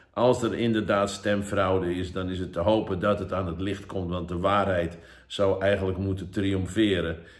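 A man's very deep, low voice, monotone and flat, at a moderate pace against a quiet background. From Netherlands. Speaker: evangelist. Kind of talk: sermon. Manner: halting. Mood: earnest, urging. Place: home room. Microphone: phone near.

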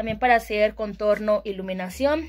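With music playing behind her, a woman speaks in a fairly high pitch with ordinary pitch variation. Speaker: beauty vlogger. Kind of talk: casual product tour video. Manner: chatty, with many filler sounds.

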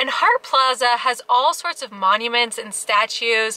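With an upbeat tone and high pitch, a woman talks at a moderate pace with ordinary pitch variation. The sound is dry, with no echo. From Alaska. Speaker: family travel vlogger. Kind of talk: travel vlog narration. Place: car. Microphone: phone near.

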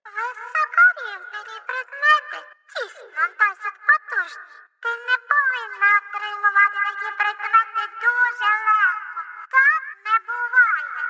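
A put-on character voice with an extremely high pitch moves at a fairly slow pace over music in the background. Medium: fan dub. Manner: formal, announcing, matter-of-fact.

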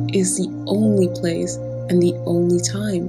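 With music in the background, a woman talks at a very slow pace in a calm, soothing tone. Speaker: affirmations and meditation coach. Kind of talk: guided affirmations. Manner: calm, slow, soothing.

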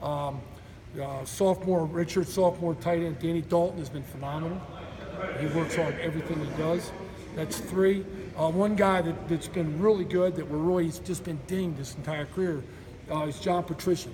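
Over light background noise, a man with a high pitch talks at a moderate pace with fairly even intonation. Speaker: college football strength coach. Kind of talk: media interview. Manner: loud. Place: gym.

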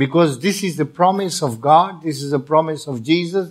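A plain, everyday voice belongs to a man with a fairly high pitch. He goes at a moderate pace with ordinary pitch variation. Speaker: visiting preacher. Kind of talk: sermon, interpreted line by line into Dutch. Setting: church with congregation. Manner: earnest, preaching with pauses for translation; audience-engaging, asks for amens.

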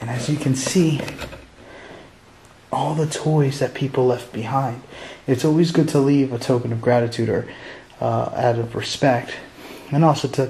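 A man speaks with fairly even intonation, leaving long, frequent pauses. Light background noise can be heard. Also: moderate pace. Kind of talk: casual vlog commentary. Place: hall. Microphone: phone near.

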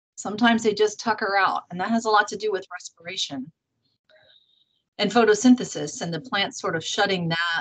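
The speaker is a woman with a bright, sharp tone. Her pitch varies in an ordinary way. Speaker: conference host or moderator. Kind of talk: casual moderator chat reading comments. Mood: friendly, relaxed. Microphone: video call.

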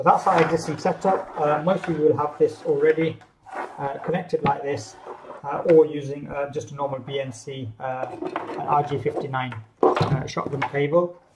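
With noticeable background noise behind him, a man speaks at a moderate pace with fairly even intonation. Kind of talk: tutorial. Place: office. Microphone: camera far.

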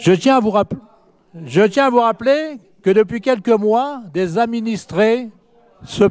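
A man speaks at a very slow pace. His pitch is high, with ordinary variation. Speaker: opposition city councillor. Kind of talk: council debate speech. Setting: municipal council meeting. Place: hall. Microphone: hard to hear, mic issue; podium.

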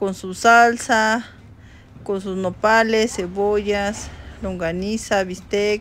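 At a very slow pace, a woman talks with ordinary pitch variation. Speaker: family vlogger. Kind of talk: casual vlog chat. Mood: cheerful, amused.

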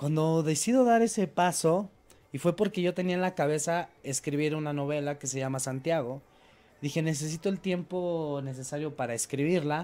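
A man's dark, mellow voice, fairly high in pitch, with ordinary pitch variation and a moderate pace. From Mexico. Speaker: producer and radio host; interview guest. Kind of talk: TV interview. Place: studio. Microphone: handheld.

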